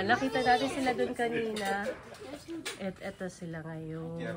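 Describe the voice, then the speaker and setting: A woman's voice swings very widely in pitch. Audible room echo and crowd noise in the background surround her. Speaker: travel vlogger. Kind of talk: vlog house tour. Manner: casual, animated. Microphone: voice quiet at times, then loud.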